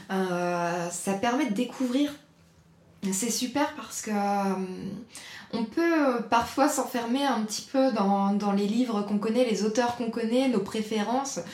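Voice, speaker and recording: With audible room echo behind her, a woman with a fairly high pitch talks at a very slow pace. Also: ordinary pitch variation. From northern France, raised near Nantes. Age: 30s. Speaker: journalist. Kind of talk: casual interview chat. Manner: halting, many hesitations.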